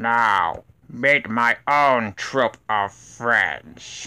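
His pitch is medium. The man is doing a put-on character voice. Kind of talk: voice audition. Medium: voice reel. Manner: menacing, taunting.

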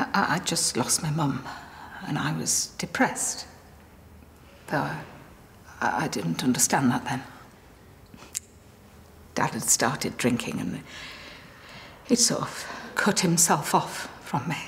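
A woman whispers at a very slow pace. She leaves long pauses, and they come often. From England. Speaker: actress. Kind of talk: drama scene acting. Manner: hesitant, emotional. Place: church.

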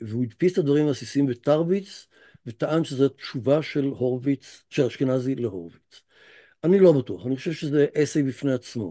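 A man's fairly high voice, dark and mellow in tone, with lively intonation over a quiet background. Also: moderate pace. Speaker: professor lecturer. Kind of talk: lecture. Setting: video call. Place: home room. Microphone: video call.

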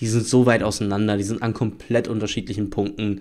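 Against a quiet background, a man talks at a fairly quick pace. His pitch is medium. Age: 20s. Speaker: YouTube sports commentator; sports news youtuber. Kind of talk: solo news commentary video. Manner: casual, with frequent fillers. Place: home room. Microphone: studio mic.

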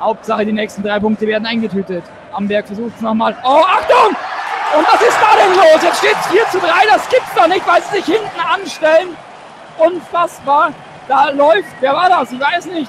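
Amid loud background noise, a man with an extremely high pitch talks at a moderate pace with very wide pitch swings, the sound dry with no echo. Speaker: fan radio commentator. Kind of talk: live sports commentary. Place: stadium.

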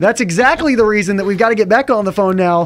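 The man's voice sits at a high pitch. Its pitch variation is ordinary. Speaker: radio show host. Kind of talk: radio show banter. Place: studio.

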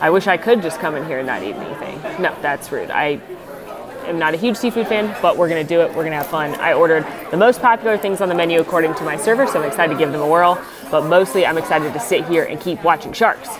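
Over crowd noise in the background, a woman talks at a very fast pace. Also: ordinary pitch variation. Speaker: food vlogger. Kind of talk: casual vlog chat. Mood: excited, delighted. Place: cafe. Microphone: phone near.

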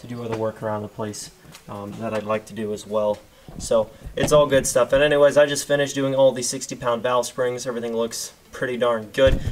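A man's voice with fairly even intonation over light background noise. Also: fairly quick pace. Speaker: diesel truck vlogger. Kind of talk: casual vlog chat. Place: garage. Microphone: phone near.

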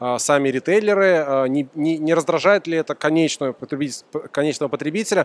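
Heard dry and close with no echo, a man talks at a fairly quick pace with a fairly high pitch and ordinary pitch variation.

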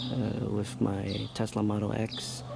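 There is noticeable background noise. Over it, a man speaks with ordinary pitch variation. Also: dry sound with no echo. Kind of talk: casual vlog chat. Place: street. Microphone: phone near.

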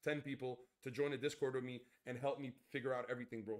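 Against a quiet background, a man speaks in an animated tone. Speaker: gaming streamer. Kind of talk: live stream chat. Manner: loud. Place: home room.

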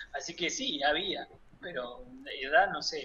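A man talks while light background noise carries on behind him. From Buenos Aires province, Argentina. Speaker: 3D character artist; guest. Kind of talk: interview. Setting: at home. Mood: relaxed, reminiscing. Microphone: webcam.

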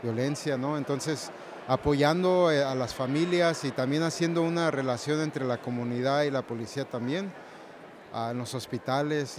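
Delivery is at a moderate pace with fairly even intonation. Noticeable background noise sits in a dry sound with no echo. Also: man. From Morelia, Michoacán, Mexico. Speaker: newly ordained deacon. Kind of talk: interview. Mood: warm, joyful occasion. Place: church. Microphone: handheld.

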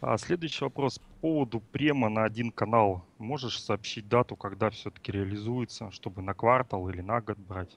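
A man at medium pitch speaks at a moderate pace, with ordinary pitch variation and hardly any pauses. His loudness swings widely, and the sound is dry and close with no echo over a quiet background. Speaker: viewer, chat moderator helper. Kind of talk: question session over call. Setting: Skype call.

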